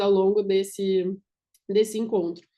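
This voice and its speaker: A woman of medium pitch with a dark, mellow tone speaks at a moderate pace. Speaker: business consultant. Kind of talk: online workshop presentation.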